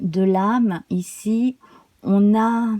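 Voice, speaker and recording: A woman speaks in a calm, soothing, somewhat breathy voice with a dark, mellow tone, medium pitch and fairly even intonation, in a dry, close recording with no echo. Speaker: tarot reader. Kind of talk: tarot reading guidance video.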